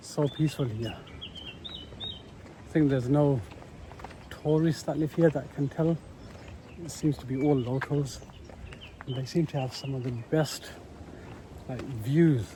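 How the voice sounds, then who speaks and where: A man speaks at a fairly slow pace with a fairly high pitch, fairly even intonation and big swings in loudness. He leaves long, frequent pauses, and there is noticeable background noise. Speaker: travel vlogger. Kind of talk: travel vlog narration. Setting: outdoors.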